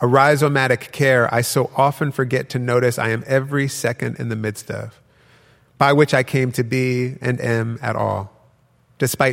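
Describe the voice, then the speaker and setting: A man speaks in a plain, everyday voice at medium pitch. His intonation stays fairly even at a moderate pace. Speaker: poet and author. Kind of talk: poem performed to a live audience, incantatory reading. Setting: stage with audience. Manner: incantatory, rhythmic, repeated refrain of 'look for me'.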